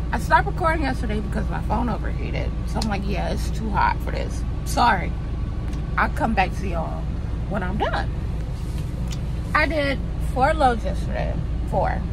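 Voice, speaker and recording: Against loud background noise, a woman talks at a moderate pace with long, frequent pauses, the sound dry with no echo. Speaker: truck driver vlogger. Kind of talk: casual vlog chat. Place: car. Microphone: phone near.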